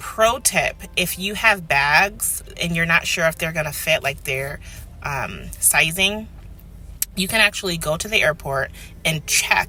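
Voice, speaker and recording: Music plays in the background as a woman speaks with an American accent. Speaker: family vlogger. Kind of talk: casual vlog talk. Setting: car. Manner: animated.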